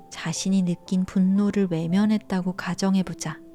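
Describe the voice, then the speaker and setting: Music plays in the background as a woman speaks at a medium pitch. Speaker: audiobook narrator. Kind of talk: audiobook reading.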